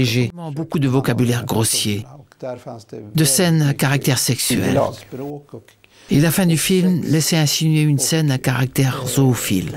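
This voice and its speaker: With a fairly high pitch and ordinary variation, a man speaks at a fairly slow pace, his loudness very even. Long, frequent pauses break up his speech, and noticeable background noise is present. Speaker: voice-over artist. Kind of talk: documentary voice-over dub. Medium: dub.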